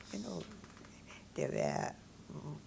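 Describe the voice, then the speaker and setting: A woman with an Austrian accent. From Vienna, Austria. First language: German. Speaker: Holocaust survivor. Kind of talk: interview answer.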